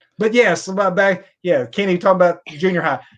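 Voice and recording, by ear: A man speaks at a high pitch with a fairly bright tone. His pace is fairly quick. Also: ordinary pitch variation.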